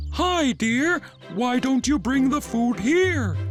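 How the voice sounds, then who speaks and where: A put-on character voice speaks at a very slow pace and fairly high pitch. Clear music plays in the background. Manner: sweet, deceptive.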